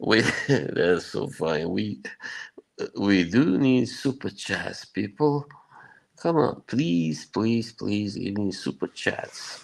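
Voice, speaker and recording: In a Bosnian accent, a man with a fairly low voice speaks at a very slow pace with very wide pitch swings. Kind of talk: casual chat. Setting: live stream.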